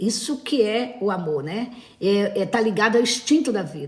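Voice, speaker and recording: The speaker talks fairly slowly, with lively intonation. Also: woman. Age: 60s. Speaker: therapist. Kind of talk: live stream talk. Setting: live stream. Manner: hesitant, many fillers.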